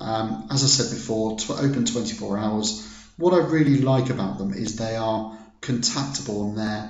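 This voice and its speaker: Amid noticeable background noise and audible room echo, a man with an English accent talks at a medium pitch and moderate pace with lively intonation. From England. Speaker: product reviewer. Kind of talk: business review. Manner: hesitant, many fillers.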